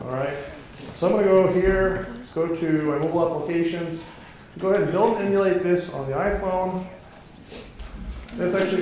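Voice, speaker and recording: Over noticeable background noise and audible room echo, the speaker goes at a fairly quick pace with long, frequent pauses and fairly even intonation. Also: man. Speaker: tech evangelist presenter. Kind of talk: conference talk with live demo. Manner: fast.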